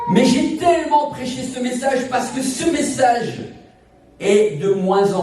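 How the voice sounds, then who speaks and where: A man with an extremely high pitch speaks at a very slow pace. Audible room echo and noticeable background noise fill the recording. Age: 60s. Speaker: evangelist singer and preacher. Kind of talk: sermon. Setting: church service.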